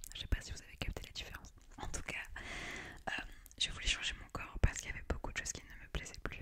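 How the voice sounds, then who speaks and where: A woman is talking. She whispers. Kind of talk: ASMR whispered talk to camera. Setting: close-mic studio recording. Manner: whispered.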